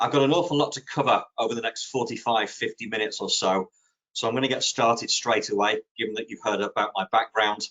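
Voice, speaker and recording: A man speaks fairly quickly in a British accent. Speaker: social media consultant. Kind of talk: webinar presentation. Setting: online webinar. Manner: conversational with fillers.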